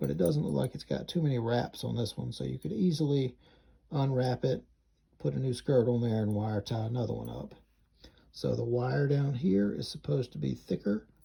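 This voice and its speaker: A man with an Alabama accent, somewhat breathy and dark, mellow in tone, at a medium pitch with very wide pitch swings and a moderate pace. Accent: Southern US (Alabama) pronunciation. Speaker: fishing YouTuber. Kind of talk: product review and fishing vlog. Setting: outdoors on a creek. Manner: casual, conversational.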